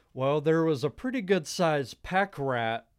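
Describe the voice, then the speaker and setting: On a very clean recording with a silent background, a man with an ordinary speaking voice and a fairly high pitch talks at a fairly slow pace with lively intonation. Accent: American. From Texas, Dallas area. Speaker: mechanical technician. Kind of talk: interview storytelling.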